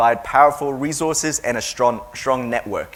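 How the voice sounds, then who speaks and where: Moderate pacing from a man in an Australian accent. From Taiwan until 12, then Melbourne, Australia. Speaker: education agency owner. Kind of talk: seminar talk. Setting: seminar with audience.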